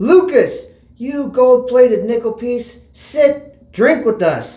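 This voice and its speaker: A man speaks in a put-on character voice pitched extremely high. His delivery is very slow. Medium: read story. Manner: commanding.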